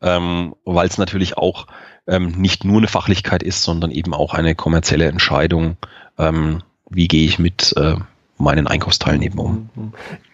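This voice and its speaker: Long, frequent pauses interrupt delivery that otherwise keeps a moderate pace. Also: man, very deep, low pitch for a man. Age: 40s. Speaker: sales director at a procurement software startup. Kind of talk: podcast interview. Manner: frequent filler hesitations (ähm).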